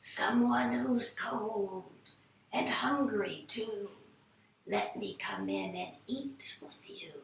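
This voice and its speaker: Putting on a character voice, a woman speaks at a fairly high pitch. Her pace is very slow and her loudness swings widely. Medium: read story.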